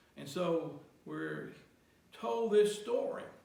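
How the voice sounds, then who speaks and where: Speaking very slowly, a man can be heard with noticeable noise behind him. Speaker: pastor. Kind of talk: sermon.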